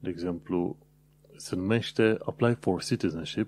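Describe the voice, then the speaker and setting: A man's very deep, low voice with a dark, mellow tone, ordinary pitch variation and a moderate pace, in a dry, close sound with no echo. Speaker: podcast host. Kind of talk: solo podcast monologue.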